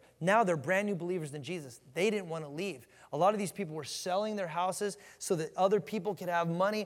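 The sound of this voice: The reading voice is unforced. It carries through the passage that way.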